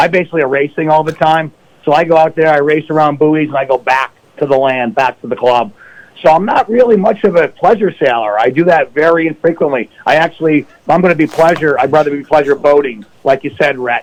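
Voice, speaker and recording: With a plain, everyday voice, a man talks at a fairly quick pace and a fairly high pitch, using ordinary pitch variation. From upstate New York. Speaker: financial advisor. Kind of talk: radio interview.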